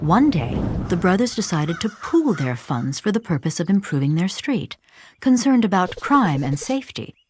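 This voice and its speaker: A somewhat breathy voice with very wide pitch swings goes at a moderate pace on a very clean recording with a silent background. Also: woman. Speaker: actress. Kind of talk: animated explainer story narration.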